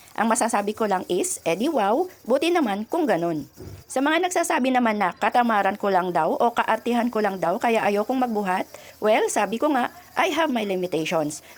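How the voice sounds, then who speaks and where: Talking at a fairly quick pace, a woman uses a fairly high pitch with very wide pitch swings and very even loudness. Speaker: welder and vlogger. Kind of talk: casual vlog talk to viewers.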